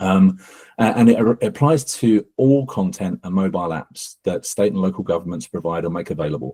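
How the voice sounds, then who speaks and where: In an English accent, a man with a very deep, low pitch and a dark, mellow tone speaks at a fairly quick pace with lively intonation, the sound dry and close with no echo. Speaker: accessibility company co-founder. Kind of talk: panel webinar discussion. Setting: live webinar.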